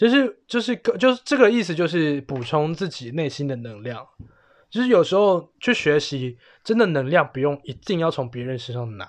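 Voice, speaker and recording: This man speaks at a moderate pace with a fairly high pitch. His pitch swings very widely. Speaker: podcast host. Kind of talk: casual chat.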